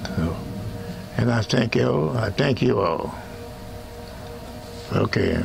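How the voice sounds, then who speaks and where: A man is talking. Clear music plays behind him. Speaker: blues pianist. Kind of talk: thank-you message to camera. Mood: grateful, warm. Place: studio. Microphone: lapel.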